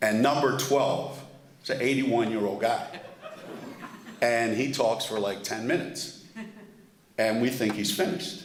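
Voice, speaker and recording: A man talks at a moderate pace and medium pitch, with ordinary pitch variation and long, frequent pauses. Noticeable background noise and audible room echo are present. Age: 70s. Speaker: award honoree speaker. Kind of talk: award dinner speech.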